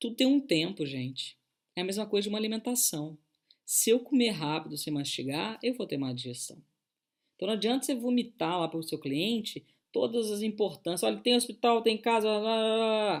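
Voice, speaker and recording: A woman with a fairly high pitch, an animated tone and very wide pitch swings. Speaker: coach. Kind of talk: online talk. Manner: fast.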